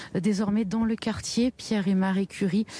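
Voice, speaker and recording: Her fairly high pitch paired with a dark, mellow, somewhat breathy tone, a woman speaks at a moderate pace with monotone, flat intonation. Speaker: field reporter. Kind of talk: live news report. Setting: outdoors at a memorial march. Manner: soft-spoken.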